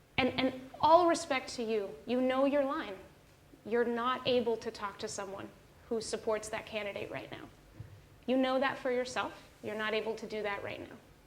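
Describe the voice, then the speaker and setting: A woman talks at a moderate pace with a high pitch and ordinary pitch variation. Long, frequent pauses break up her speech, and audible room echo surrounds it. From Mexico. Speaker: author. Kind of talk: fireside chat. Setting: stage with audience.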